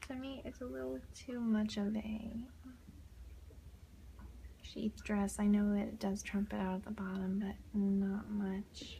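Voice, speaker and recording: A soft-spoken, somewhat breathy woman with an American accent, a medium pitch, a dark, mellow tone and ordinary pitch variation, at a fairly slow pace with long, frequent pauses. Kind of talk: ASMR page flipping, casual talk to camera.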